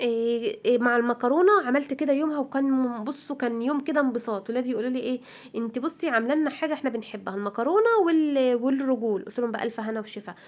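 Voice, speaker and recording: This voice is in an Egyptian accent at a fairly quick pace. Its pitch variation is ordinary. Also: woman. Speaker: homemaker vlogger. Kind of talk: casual vlog chat. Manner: chatty, informal.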